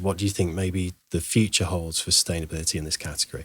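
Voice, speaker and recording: Speaking at a fairly quick pace, a man with a British accent has a very deep, low pitch and monotone, flat intonation. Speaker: podcast host, former chef. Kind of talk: podcast interview questions.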